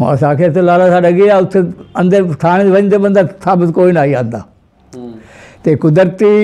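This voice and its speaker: A man's high voice with ordinary pitch variation against a quiet background. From Multan district, Punjab, Pakistan. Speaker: Partition survivor. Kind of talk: interview answer. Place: home room.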